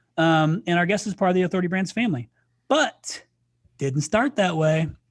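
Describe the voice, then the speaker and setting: A man with a US Midwestern accent, fairly high-pitched, at a fairly quick pace with ordinary pitch variation, on a very clean recording with a silent background. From Indiana, US Midwest. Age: 40s. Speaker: podcast host. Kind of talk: casual chat. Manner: animated.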